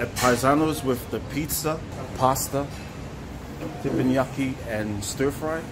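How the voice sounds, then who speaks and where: A man's voice with ordinary pitch variation and noticeable background noise. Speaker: vlogger. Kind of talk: casual vlog chat. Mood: cheerful, celebratory. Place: cafe. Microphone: phone near.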